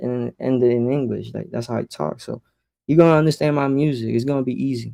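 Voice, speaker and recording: The speech moves at a fairly quick pace with fairly even intonation, and the sound is dry and close with no echo. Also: man. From Puerto Rico, raised in Florida (Orlando). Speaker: music producer. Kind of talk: casual chat.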